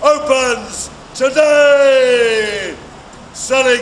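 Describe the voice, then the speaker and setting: Over noticeable background noise, a man talks in a theatrical tone. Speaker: town crier. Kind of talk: town crier proclamation advertising a shop opening. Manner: loud, theatrical, rhyming proclamation.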